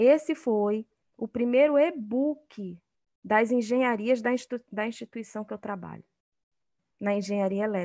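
A woman's fairly high, dark and mellow voice, fairly slow with long, frequent pauses and ordinary pitch variation, dry and close with no echo against a quiet background. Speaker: university professor and researcher in engineering. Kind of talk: interview. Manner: hesitant, many fillers. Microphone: connection froze.

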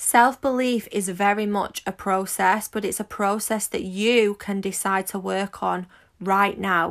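A woman speaks with a Manchester accent at a medium pitch and a fairly slow pace. The recording is very clean, with a silent background. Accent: Manchester English, fairly noticeable. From Manchester, England. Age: 20s. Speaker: podcast host, social media entrepreneur and mentor. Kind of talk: motivational solo podcast monologue. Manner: upbeat, enthusiastic, positive.

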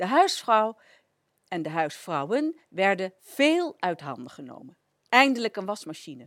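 On a very clean recording with a silent background, a woman speaks at a fairly slow pace with very wide pitch swings. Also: dry, close sound with no echo. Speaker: radio presenter. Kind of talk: scripted narration.

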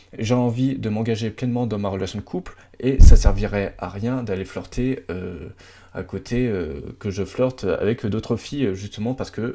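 Medium in pitch with a dark, mellow tone, a man speaks with fairly even intonation. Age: 20s. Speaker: podcast host, self-development. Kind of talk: solo monologue podcast, casual. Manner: casual, informal, with hesitations.

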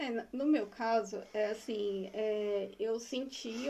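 This woman's voice sits fairly high. The tone is dark and mellow. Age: 40s. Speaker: breast cancer survivor, HR professional. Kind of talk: personal testimony in casual interview.

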